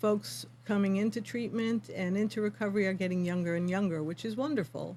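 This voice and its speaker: Somewhat breathy and dark, mellow in tone, a woman speaks at a fairly quick pace with lively intonation. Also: medium pitch for a woman. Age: 60s. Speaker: yoga teacher for addiction recovery. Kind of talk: interview.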